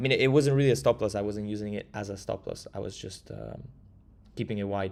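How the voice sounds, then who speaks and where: A man with an Italian accent speaks at a very fast pace in a fairly low voice, with ordinary pitch variation. The recording is very clean, with a silent background. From Italy. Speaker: crypto trader. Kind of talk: live stream market analysis. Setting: live stream with chat.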